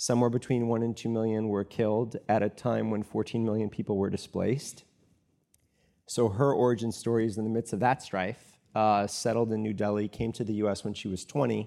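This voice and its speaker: Speaking at a fairly quick pace, a man with medium pitch and a dark, mellow tone keeps a monotone, flat intonation. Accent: American. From US Midwest. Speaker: startup founder and author. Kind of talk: interview conversation on stage. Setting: stage with audience. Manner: candid, reflective.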